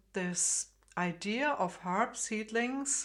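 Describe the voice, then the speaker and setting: A woman with a German accent. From Germany, Frankfurt. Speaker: harp teacher. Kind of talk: tutorial. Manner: hesitant, many fillers.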